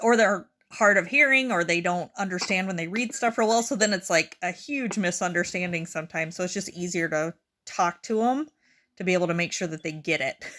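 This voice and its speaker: This loud voice has a bright, sharp tone, ordinary pitch variation and a fairly quick pace. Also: woman, medium pitch for a woman. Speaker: healthcare worker. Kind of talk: casual chat.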